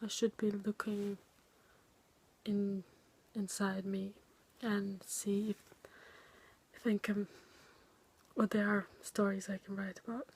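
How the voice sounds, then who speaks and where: With a non-native accent, the speaker talks at a very slow pace, broken by long, frequent pauses. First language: not English. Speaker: student making a video dissertation. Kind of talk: video diary. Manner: halting.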